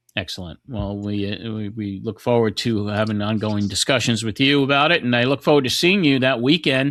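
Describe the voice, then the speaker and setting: A man with an American accent has an unremarkable speaking voice at medium pitch with ordinary pitch variation. He talks at a fairly quick pace with hardly any pauses, in a very clean recording with a silent background. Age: 60s. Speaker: podcast host. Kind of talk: casual interview chat.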